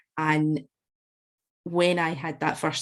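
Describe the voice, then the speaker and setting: In a Scottish accent, a woman speaks with a very deep, low pitch in a very clean recording over a silent background. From Scotland, Glasgow / West Central Scotland. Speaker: alcohol freedom coach. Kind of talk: podcast interview. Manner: conversational with frequent hesitations and repeats.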